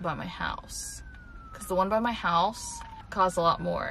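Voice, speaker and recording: Light background noise behind a woman speaking at a moderate pace. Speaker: vlogger. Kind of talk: casual vlog chat. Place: car.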